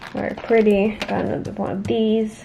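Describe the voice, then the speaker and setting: A woman speaks at a fairly slow pace in a medium pitch, with noticeable background noise behind her. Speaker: crafting youtuber. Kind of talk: casual haul video. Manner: animated.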